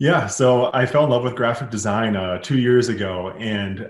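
A man with an American accent talks at a moderate pace in an unremarkable speaking voice, with ordinary pitch variation. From Minnesota, US Midwest. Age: 30s. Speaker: apparel brand founder. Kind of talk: interview.

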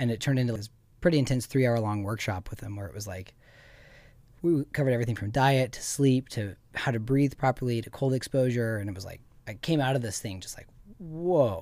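With an American accent and an unremarkable speaking voice, a man talks at a medium pitch and a fairly quick pace, with ordinary pitch variation and big swings in loudness, in a very clean recording over a silent background. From Montana. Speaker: ice bath and breathwork event host. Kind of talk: interview. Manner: casual.

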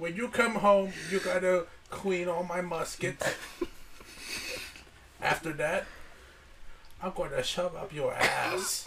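A man's put-on character voice, mumbling and high-pitched, at a fairly slow pace with long, frequent pauses and clear background noise. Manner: mumbling, full mouth.

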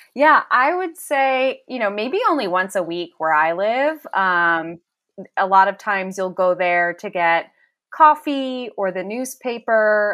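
With an American accent and lively intonation, a normal speaking voice moves at a fairly slow pace. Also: woman. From US Northeast, Philadelphia. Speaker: fan guest. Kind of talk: casual chat.

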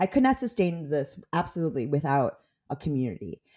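A woman's fairly low, dark, mellow voice with an American accent, on a very clean recording with a silent background. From Chicago area, US Midwest. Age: 40s. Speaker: stand-up comedian. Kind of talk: casual chat.

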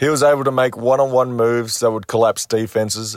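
A man speaks in an Australian accent, the sound dry and close with no echo. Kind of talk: prepared sports commentary segment.

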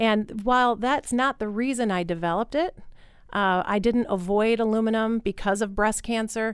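With an American accent, a woman uses an ordinary speaking voice, fairly high in pitch with ordinary pitch variation, very even loudness and a moderate pace. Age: 40s. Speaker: doctor and entrepreneur. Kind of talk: interview. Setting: studio.

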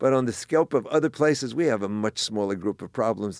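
Over a very clean recording with a silent background and a dry, close sound with no echo, a man with an American accent talks at a very fast pace with ordinary pitch variation. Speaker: grocery business owner. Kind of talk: interview.

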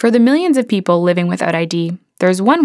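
A woman with an ordinary speaking voice and medium pitch talks at a fairly quick pace in a very clean recording with a silent background. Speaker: radio reporter. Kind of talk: scripted narration.

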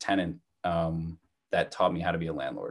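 Very deep, low male voice in an American accent, at a fairly quick pace. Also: quiet background. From New Jersey. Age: 20s. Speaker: real estate entrepreneur. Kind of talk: casual interview.

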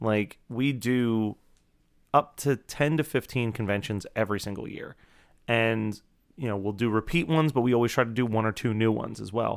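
In a very clean recording with a silent background, a man with an ordinary speaking voice talks at a moderate pace, medium in pitch, with ordinary pitch variation. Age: 30s. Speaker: podcast producer. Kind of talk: casual chat.

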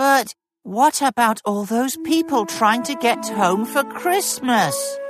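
A female-sounding put-on character voice speaks at a fairly high pitch and a fairly slow pace. Faint music plays in the background. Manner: earnest, disbelieving.

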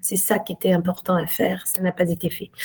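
This woman's medium-pitched voice is dark, mellow and somewhat breathy. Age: 50s. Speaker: lawyer. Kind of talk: interview. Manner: halting, frequent hesitations.

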